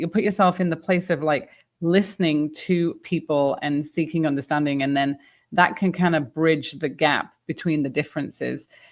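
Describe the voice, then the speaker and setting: A woman with a British accent, her very deep, low pitch and ordinary pitch variation at a moderate pace. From England. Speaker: retail leadership expert and author. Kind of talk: interview.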